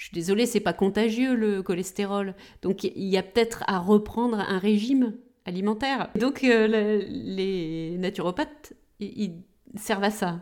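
A woman's medium-pitched voice, fairly slow, with ordinary pitch variation. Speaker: pharmacist, podcast co-host. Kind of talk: casual explanatory chat.

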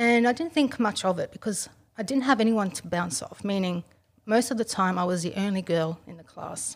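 A woman with an Australian accent at medium pitch, with lively intonation, a fairly quick pace and big swings in loudness. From Australia, Italian immigrant family. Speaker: self-defense trainer. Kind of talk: interview.

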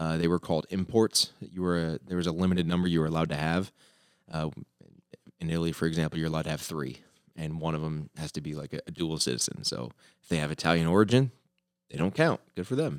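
In a dry, close recording with no echo, a loud man with an American accent talks very fast in a very deep, low pitch with ordinary pitch variation. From US South, southwest Florida (Fort Myers). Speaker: football coach. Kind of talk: casual chat. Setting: studio.

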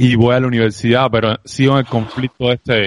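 His intonation is monotone and flat. The man's pace is fairly quick. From Cuba. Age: 30s. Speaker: entrepreneur and sales expert. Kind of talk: interview conversation.

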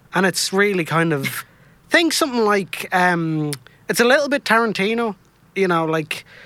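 A raised, projected voice with a bright, sharp tone, lively intonation and a Dublin accent. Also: man, high pitch for a man, moderate pace. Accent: Irish (Dublin). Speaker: podcast co-host. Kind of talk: casual banter on radio. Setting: studio.

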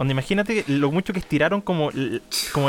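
With a Chilean accent, a man talks at a fairly quick pace using lively intonation. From Chile, Portezuelo near Chillán. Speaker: podcast co-host. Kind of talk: casual chat. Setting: remote recording.

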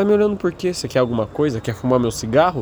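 Here a man talks in an interior São Paulo accent. His pace is very fast and his intonation lively. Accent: caipira-style retroflex R. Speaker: podcast host. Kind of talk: solo monologue podcast. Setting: home apartment, partly on balcony.

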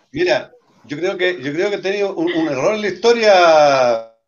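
A man's high-pitched voice at a fairly slow pace. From Chile, Talca. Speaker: regional party leader. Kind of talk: casual chat.

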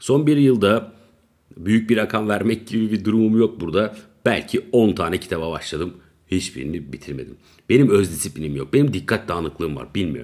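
A man talks at a fairly quick pace, his fairly low voice showing vocal fry and very wide pitch swings. The recording is very clean, with a silent background. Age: 30s. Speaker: podcaster. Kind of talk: casual solo monologue. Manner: rambling, laughing at himself.

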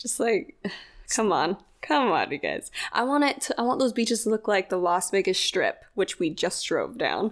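In a plain, everyday voice, the speaker talks at a moderate pace with lively intonation on a very clean recording with a silent background. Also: woman, fairly high pitch for a woman. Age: 20s. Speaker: podcast co-host. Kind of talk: casual chat.

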